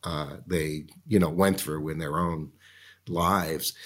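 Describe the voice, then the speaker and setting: On a very clean recording with a silent background, a man with a Boston accent speaks at a fairly slow pace. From Massachusetts, Boston area. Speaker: lobbyist and political strategist. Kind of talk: casual interview conversation. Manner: friendly, laughs often.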